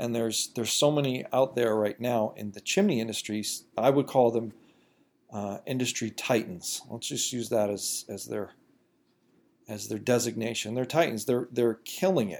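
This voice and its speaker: A man of medium pitch at a moderate pace, with ordinary pitch variation and big swings in loudness. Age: 30s. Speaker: podcast host and chimney service business owner. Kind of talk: solo podcast monologue. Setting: recording at home computer. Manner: halting, with frequent fillers and repetitions.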